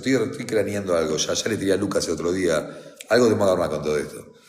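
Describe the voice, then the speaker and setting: A man's fairly low voice with lively intonation and audible room echo. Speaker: defense lawyer. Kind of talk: reading aloud with commentary. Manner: fast; halting.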